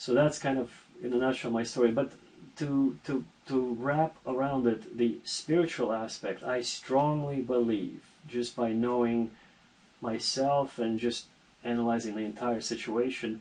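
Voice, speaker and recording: An unremarkable speaking voice with an American accent and fairly even intonation. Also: man, medium pitch for a man. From Armenia (Yerevan), then New York from 17. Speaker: entrepreneur. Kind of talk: casual chat.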